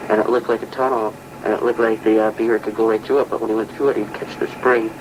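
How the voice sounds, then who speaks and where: Noticeable background noise sits behind a man at a medium pitch. He talks very fast in a monotone, flat intonation. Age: 70s. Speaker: retired trapper and farmer. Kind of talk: oral history interview. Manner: halting, with repeated words.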